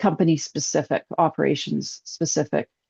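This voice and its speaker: A woman's very deep, low voice carries vocal fry and a dark, mellow tone, with a dry, close sound, no echo and a quiet background. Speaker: account executive giving software demo. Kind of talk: webinar product demo. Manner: fast.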